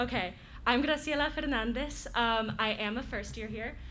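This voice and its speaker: Amid audible room echo, a woman with an American accent speaks at a fairly high pitch and a moderate pace, with vocal fry, a bright, sharp tone and ordinary pitch variation. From Florida, US. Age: 19. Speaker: college student. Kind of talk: casual introduction and story. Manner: halting, many fillers.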